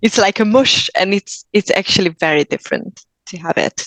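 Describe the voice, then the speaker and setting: A woman speaks in a Hungarian accent at a medium pitch and moderate pace. Her pitch variation is ordinary, and the sound is dry and close with no echo. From Hungary. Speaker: actor. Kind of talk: interview.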